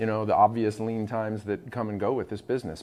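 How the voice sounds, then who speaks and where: A man speaks. His pitch sits fairly low. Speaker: restaurant owner. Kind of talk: interview. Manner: loud.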